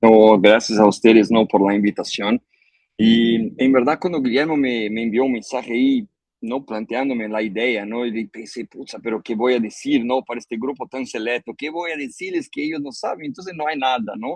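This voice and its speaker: The sound is dry and close, with no echo. Speech moves at a moderate pace with ordinary pitch variation. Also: man, medium pitch for a man. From Brazil. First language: Portuguese (speaking Spanish). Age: 50s. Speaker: agronomist, chemical industry professional. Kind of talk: webinar talk. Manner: halting, many fillers and repetitions.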